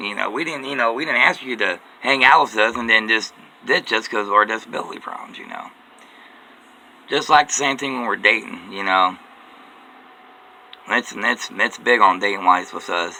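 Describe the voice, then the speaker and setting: A man at medium pitch and moderate pace, with ordinary pitch variation, long and frequent pauses, big swings in loudness, and noticeable background noise. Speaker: vlogger. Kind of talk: personal monologue. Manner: repetitive.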